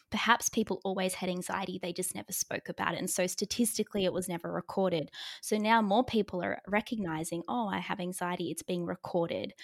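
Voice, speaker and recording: Very fast, with hardly any pauses, fairly even intonation and vocal fry, the speech comes in an Australian accent on a very clean, dry, close recording with no echo and a silent background. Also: woman, medium pitch for a woman. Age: 20s. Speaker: psychologist. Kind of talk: interview.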